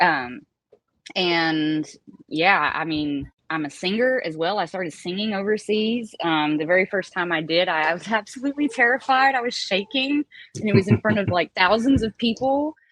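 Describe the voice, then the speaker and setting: A voice with a Southern accent and very wide pitch swings at a moderate pace. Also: woman, medium pitch for a woman. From US South, Appalachia (Galax, Virginia). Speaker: baker and singer. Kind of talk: casual chat.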